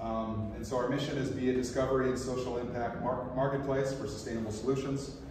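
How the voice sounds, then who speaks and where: A man with an American accent, medium pitch and monotone, flat intonation, at a very fast pace amid strong room echo and noticeable background noise. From US, western North Dakota. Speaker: nonprofit founder and panel moderator. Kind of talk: conference presentation and panel moderation. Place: meeting room. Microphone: camera far.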